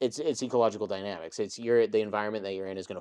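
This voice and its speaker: A man with an American accent speaks in a dark, mellow tone at a fairly low pitch. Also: quiet background. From Texas. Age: 30s. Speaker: jiu-jitsu competitor and YouTube creator. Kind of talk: casual interview chat.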